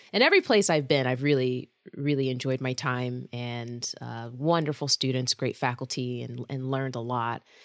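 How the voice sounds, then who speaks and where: A woman with an American accent talks at a moderate pace with hardly any pauses, her very deep, low voice holding a fairly even intonation. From US South, Georgia. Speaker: university band conductor and professor. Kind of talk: interview.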